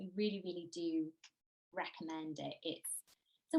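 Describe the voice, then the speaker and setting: In a Cardiff accent, a woman talks at a moderate pace with lively intonation. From Wales, Cardiff. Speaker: travel journalist. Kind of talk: conference talk.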